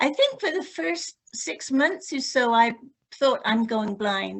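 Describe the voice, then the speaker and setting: A woman with a British accent, fairly high in pitch, at a very slow pace. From UK. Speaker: group member. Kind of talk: casual chat.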